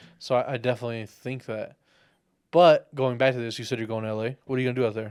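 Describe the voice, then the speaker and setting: At a very fast pace, a man with an American accent speaks with fairly even intonation. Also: medium pitch for a man. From Texas. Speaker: podcast host. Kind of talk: casual chat.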